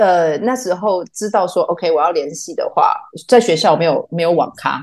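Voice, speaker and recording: A woman speaks with a dark, mellow tone. She has a Taiwanese accent. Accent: Taiwanese Mandarin. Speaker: theatre artist. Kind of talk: casual chat.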